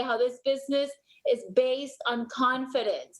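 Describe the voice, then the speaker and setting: A woman speaks with a high pitch. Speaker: MLM team leader. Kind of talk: motivational team call. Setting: video call. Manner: animated.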